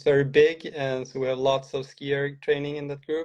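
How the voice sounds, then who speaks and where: A man speaks fairly slowly in a Swedish accent. His fairly high pitch stays in a flat monotone. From Sweden. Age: 40s. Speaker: cross-country ski coach. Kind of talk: interview. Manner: hesitant.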